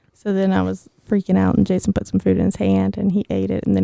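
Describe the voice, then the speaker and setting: In a dry, close recording with no echo, a woman talks at a very fast pace. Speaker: podcast co-host. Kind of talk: casual chat. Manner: animated.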